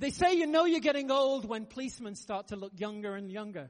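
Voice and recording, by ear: A man at a high pitch, talking at a fairly quick pace. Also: ordinary pitch variation.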